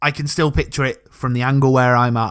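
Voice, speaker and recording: A man with a South Yorkshire accent speaks at a fairly quick pace. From South Yorkshire, England. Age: 30s. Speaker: football podcast co-host. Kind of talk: casual interview chat.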